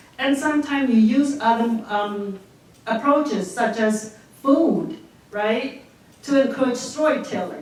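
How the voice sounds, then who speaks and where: A woman's fairly high, lively voice amid noticeable background noise and audible room echo. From Cambodia. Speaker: social work professor and documentary producer. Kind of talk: Q&A after a film screening. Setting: screening with live audience. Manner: hesitant, many fillers.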